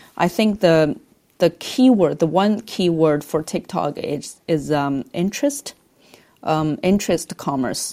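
A woman with a Chinese accent speaks at a fairly slow pace in a fairly low pitch, her dark, mellow tone carried by lively intonation on a very clean recording with a silent background. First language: Mandarin Chinese. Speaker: advertising agency business leader. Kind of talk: podcast interview.

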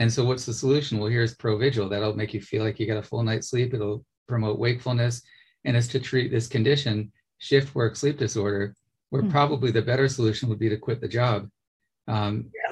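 Very fast speech from a man, medium in pitch, somewhat breathy, with fairly even intonation. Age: 50s. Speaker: podcast host. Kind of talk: interview conversation.

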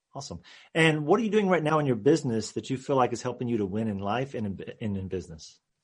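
A man talks at a very fast pace, somewhat breathy at medium pitch, with very wide pitch swings. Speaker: podcast host. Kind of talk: interview.

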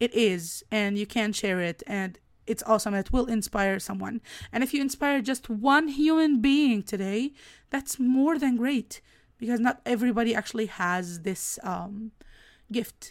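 An animated, enthusiastic woman in an Egyptian accent, fairly high in pitch with ordinary pitch variation, at a fairly slow pace, in a very clean recording with a silent background. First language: Arabic. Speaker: podcast host and business coach. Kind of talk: casual solo podcast monologue. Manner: animated, enthusiastic, occasionally halting.

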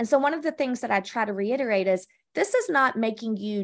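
The woman's voice is fairly high and her tone energetic. Behind her, the background is quiet. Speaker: branding and marketing agency executive. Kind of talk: interview.

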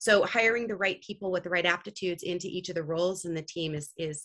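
Speaking with a Californian accent, a woman uses a fairly low pitch and a bright, sharp tone. Her pace is fairly quick. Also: quiet background. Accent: Californian American. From California, Santa Cruz. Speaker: business leader. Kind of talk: interview. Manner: casual with frequent fillers.

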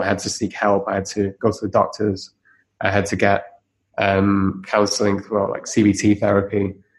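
Against a quiet background, a man with a fairly low voice speaks in a monotone, flat way. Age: 30s. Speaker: company CEO and entrepreneur. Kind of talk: interview.

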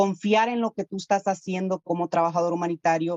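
At a moderate pace, a woman with an unremarkable speaking voice talks at a medium pitch with fairly even intonation. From Honduras. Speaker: humanitarian worker. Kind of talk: podcast interview.

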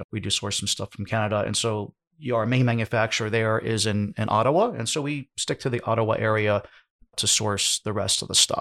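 Dry and close with no echo, this very clean recording with a silent background has a man speaking in an ordinary speaking voice with an American accent, medium pitch, fairly even intonation and a fairly quick pace. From United States. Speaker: e-commerce business owner and podcaster. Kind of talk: podcast interview.

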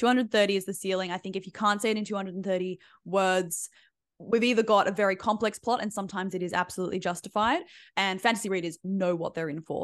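This woman talks at a very fast pace in an Australian accent. Her pitch sits in the medium range, and the background is quiet. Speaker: book blurb coach. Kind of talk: interview.

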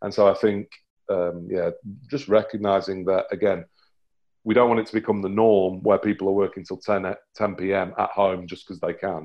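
With a British accent, a man speaks at a moderate pace in a fairly low pitch, his intonation monotone and flat. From UK. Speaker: performance coach. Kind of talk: interview.

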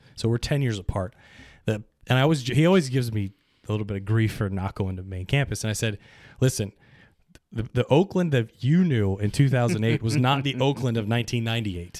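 On a very clean recording with a silent background, a man with an unremarkable speaking voice and an American accent talks at a fairly quick pace, medium pitch and ordinary pitch variation. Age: 40s. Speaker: podcast guest. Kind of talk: casual chat.

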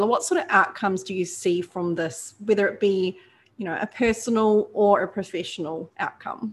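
On a very clean recording with a silent background, a woman speaks at a moderate pace and medium pitch with fairly even intonation. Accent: New Zealand. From New Zealand. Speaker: podcast host. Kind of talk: interview.

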